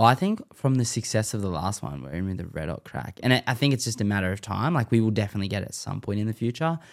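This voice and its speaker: A man with an Australian accent talks very fast, with hardly any pauses and a lively intonation in a fairly low pitch. The recording is very clean, with a silent background. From Western Sydney, Australia. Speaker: former pro scooter rider and content creator. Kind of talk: casual chat. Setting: studio.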